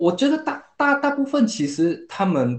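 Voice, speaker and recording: The speaker is male. He talks fairly slowly. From Singapore. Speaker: product manager. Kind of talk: casual chat.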